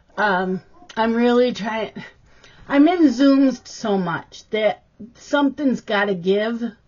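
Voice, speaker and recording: Somewhat breathy, a woman speaks at a very slow pace. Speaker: craft vlogger. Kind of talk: casual vlog chat. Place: home room.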